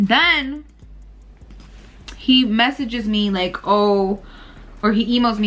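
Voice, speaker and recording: The voice sounds animated, with ordinary pitch variation, over noticeable background noise. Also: woman. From Puerto Rican heritage, US. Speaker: vlogger and small business owner. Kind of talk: casual vlog chat.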